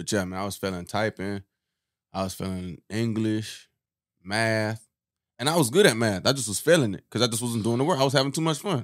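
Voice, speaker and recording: Over a very clean recording and silent background, a man at medium pitch speaks at a fairly quick pace with lively intonation. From South Florida, US. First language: Haitian Creole. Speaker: podcast co-host. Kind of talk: casual chat, comedic banter.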